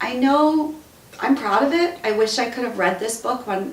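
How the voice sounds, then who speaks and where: A woman with an American accent speaks in a tearful tone at a moderate pace, with noticeable background noise. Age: 50s. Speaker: radio talk show host and author. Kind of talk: casual talk to camera. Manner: emotional, tearful.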